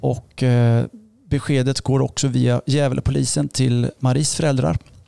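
The speech moves at a fairly slow pace, recorded with a dry, close sound and no echo. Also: man. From Östergötland, Sweden. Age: 50s. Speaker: pastor. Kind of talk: testimony.

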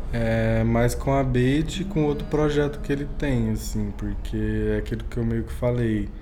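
A man speaks at a fairly slow pace with hardly any pauses, amid noticeable background noise and audible room echo. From Minas Gerais, Brazil (Uberlândia). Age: young. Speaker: DJ. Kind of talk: casual interview.

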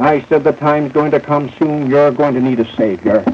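Noticeable background noise behind a man speaking at a moderate pace, his voice pitched fairly high. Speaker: radio and television preacher. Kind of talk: 1940s evangelical revival sermon. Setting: live evening church or rally meeting, archive recording. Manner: fervent, urgent, pleading altar-call delivery; folksy, humorous storyteller with stammering, repeated phrases.

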